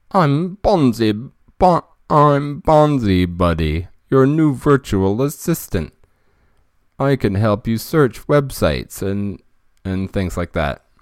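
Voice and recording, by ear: A robotic, put-on character voice at a fairly slow pace, with long, frequent pauses. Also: man, medium pitch for a man.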